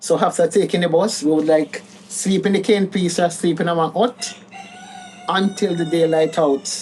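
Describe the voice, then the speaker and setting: Over noticeable background noise, a woman with a Jamaican accent speaks at a moderate pace and a fairly low pitch. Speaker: caregiver daughter. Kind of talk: interview. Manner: casual.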